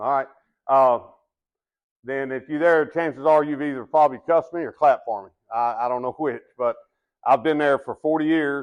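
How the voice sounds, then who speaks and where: Speaking with a Texan accent, a man has a fairly high pitch and fairly even intonation at a fairly quick pace. He pauses long and often against a quiet background. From Texas. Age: 60s. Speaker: business development manager and retired baseball umpire. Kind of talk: sales presentation. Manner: casual, halting with fillers.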